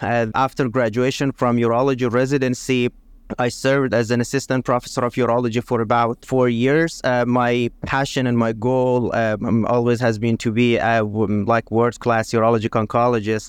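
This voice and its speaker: A man with an Iranian accent, medium pitch, a monotone and flat intonation, very even loudness, a moderate pace with hardly any pauses, and a quiet background. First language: Persian. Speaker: urologist, clinical fellow. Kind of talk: podcast interview conversation.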